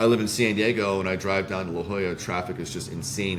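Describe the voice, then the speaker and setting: Fairly even intonation and an American accent come through with audible room echo. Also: man. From Indiana. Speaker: startup founder and CEO. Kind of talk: interview. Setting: live stream. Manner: fast.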